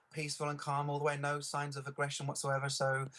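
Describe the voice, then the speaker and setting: Very fast speech with an English accent. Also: man. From England. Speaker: eyewitness interviewee. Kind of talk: news interview. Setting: Skype video call. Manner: halting, many fillers.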